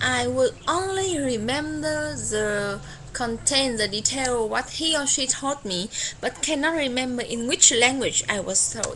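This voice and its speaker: A high-pitched woman's voice, fairly slow, with very wide pitch swings and noticeable background noise. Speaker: tourism worker. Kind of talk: casual talk to camera.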